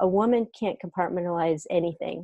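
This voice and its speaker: A woman talks at a fairly quick pace with a fairly low pitch. The sound is dry, with no echo. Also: quiet background. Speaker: remote interview guest. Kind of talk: interview answer. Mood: warm, thoughtful. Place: home room. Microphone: earbuds.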